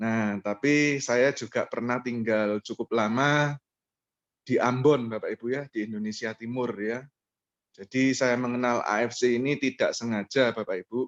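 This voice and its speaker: A man with a strong East Javanese accent at medium pitch, moderate pace and fairly even intonation, in a dry, close sound with no echo and a quiet background. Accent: thick East Javanese. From East Java, Surabaya. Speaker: MLM presenter. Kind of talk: online business presentation with personal testimony.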